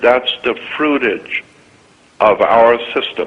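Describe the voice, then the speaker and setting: A man speaks over noticeable background noise. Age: 70s. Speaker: conspiracy lecturer. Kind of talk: rant. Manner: animated.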